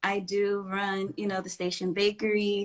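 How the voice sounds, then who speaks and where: The voice has an American accent. It moves at a moderate pace. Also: woman. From Houston, Texas. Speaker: home baker and content creator. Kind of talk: casual interview. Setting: Instagram live stream.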